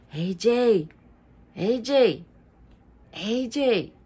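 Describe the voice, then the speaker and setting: Pitched fairly high, a woman performs in a put-on character voice. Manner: spooky.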